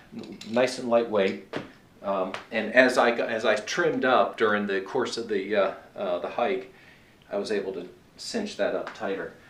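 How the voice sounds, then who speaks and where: A man speaks at a moderate pace amid audible room echo. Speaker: long-distance hiker. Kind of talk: gear review tutorial. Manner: hesitant, many filler words.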